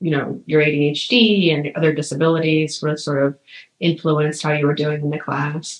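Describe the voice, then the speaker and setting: This woman speaks at a fairly slow pace. Her pitch is very deep and low. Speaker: history professor, oral history interviewer. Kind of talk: interview questions.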